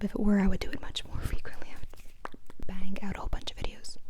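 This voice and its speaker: A woman whispering at a very fast pace, with noticeable background noise. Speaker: ASMR creator. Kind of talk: casual soft-spoken Q&A talk to camera. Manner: soft-spoken, relaxing.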